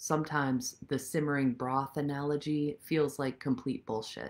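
A woman speaks at a fairly slow pace in a very deep, low voice. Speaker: senior dharma teacher. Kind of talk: dharma talk. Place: home room. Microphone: phone near.

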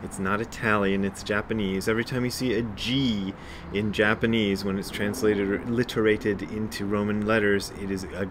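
Over noticeable background noise, a man with a fairly low pitch speaks at a moderate pace in a monotone, flat delivery. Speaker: zen teacher. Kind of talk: reading aloud with commentary. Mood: calm, lightly humorous. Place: garden. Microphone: phone near.

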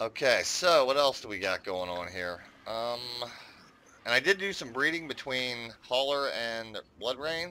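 In an American accent, a man with a normal speaking voice of medium pitch talks at a fairly slow pace with lively intonation. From United States. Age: 50s. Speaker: gaming YouTuber. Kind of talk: gameplay commentary. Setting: home recording. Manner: casual, rambling with many fillers.

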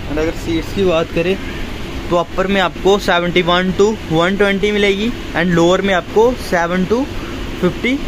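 The speech is very slow, with noticeable background noise throughout. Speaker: travel vlogger. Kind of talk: casual vlog chat. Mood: excited, happy. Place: train. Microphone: phone near.

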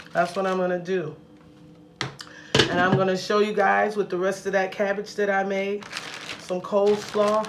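The talking keeps a moderate pace while noticeable noise runs behind it. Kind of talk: cooking tutorial. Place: kitchen. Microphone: phone near.

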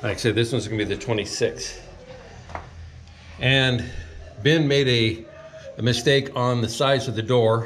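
Light background noise sits under speech delivered at a moderate pace with fairly even intonation. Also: man. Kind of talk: casual vlog chat. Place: home room. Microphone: phone near.

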